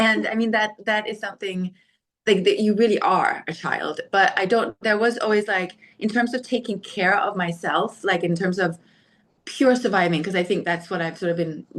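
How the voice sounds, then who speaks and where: With a Danish accent, a woman talks at a moderate pace in a medium-pitched voice with ordinary pitch variation. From Denmark. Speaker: podcast guest, storyteller. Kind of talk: casual interview chat. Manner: halting, many fillers.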